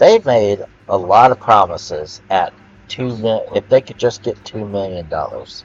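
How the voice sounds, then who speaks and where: A man speaks loudly at a moderate pace. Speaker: gaming video creator. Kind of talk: rant monologue. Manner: halting, many fillers.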